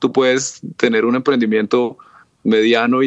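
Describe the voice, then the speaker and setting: At a fairly slow pace, an unremarkable speaking voice carries on. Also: man. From Colombia, Cúcuta (border with Venezuela). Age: 30s. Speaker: startup founder. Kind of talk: interview.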